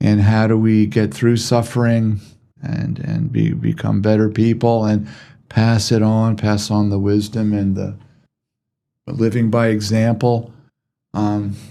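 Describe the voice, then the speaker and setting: A man's fairly low voice has a dark, mellow tone and monotone, flat intonation. He speaks at a fairly slow pace with long, frequent pauses. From US East Coast. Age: 60s. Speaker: medical doctor, podcast host. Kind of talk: interview.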